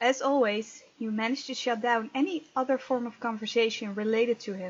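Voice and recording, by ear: A woman's fairly high-pitched voice with a slightly husky edge.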